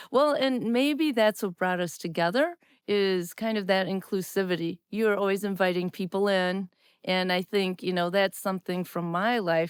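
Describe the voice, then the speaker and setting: This woman talks at a moderate pace in a Midwestern US accent, her pitch medium with ordinary variation. The recording is very clean with a silent background, and the sound is dry and close with no echo. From US Midwest, Wisconsin. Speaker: podcast host, former teacher, technology officer. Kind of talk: casual chat.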